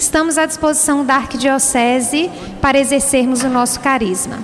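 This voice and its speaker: Someone with a strong Minas Gerais accent talks over noticeable background noise. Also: woman. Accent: strong mineiro (Minas Gerais). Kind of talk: sermon.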